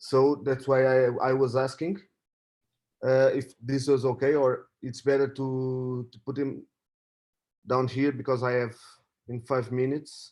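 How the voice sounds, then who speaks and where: A man speaks at a fairly slow pace in a Portuguese accent, his intonation monotone and flat. The recording is very clean, with a silent background. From Portugal. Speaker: trader. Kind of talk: casual chat. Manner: halting.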